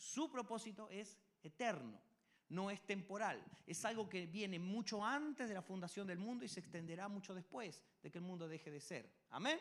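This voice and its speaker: High in pitch, a man speaks with lively intonation. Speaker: pastor. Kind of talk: sermon. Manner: fast.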